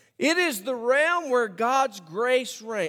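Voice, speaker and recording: Very slow speech from a man with an Alabama accent and very wide pitch swings. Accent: Southern US (Alabama). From US South, Birmingham, Alabama. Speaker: pastor. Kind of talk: sermon. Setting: church.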